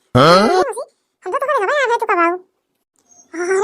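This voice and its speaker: A woman performs a cartoonish character voice. Her pitch varies in an ordinary way. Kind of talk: rustic village comedy. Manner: scolding, preachy.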